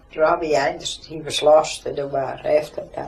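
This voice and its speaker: Noticeable background noise accompanies a woman whose speech moves at a moderate tempo. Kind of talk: oral history interview answer.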